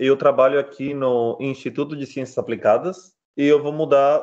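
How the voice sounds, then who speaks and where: A man with a Colombian accent. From Colombia, Barranquilla. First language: Spanish (speaking Portuguese). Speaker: physicist, researcher. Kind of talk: interview.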